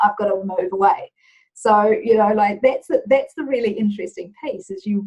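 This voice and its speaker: With a New Zealand accent, a woman speaks at a medium pitch, somewhat breathy, with ordinary pitch variation. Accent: Kiwi. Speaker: business leader, culture consultant. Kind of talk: interview.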